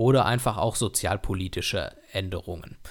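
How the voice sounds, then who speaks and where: On a very clean recording with a silent background, a man with a fairly low pitch speaks in a normal speaking voice. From Germany, Dortmund (Ruhr area). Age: 30s. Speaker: podcast host. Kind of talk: solo podcast monologue.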